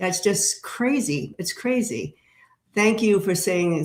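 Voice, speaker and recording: A woman talks at a fairly slow pace in an unremarkable speaking voice with ordinary pitch variation. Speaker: tarot reader and live streamer. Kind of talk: casual live stream chat. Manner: conversational with many fillers.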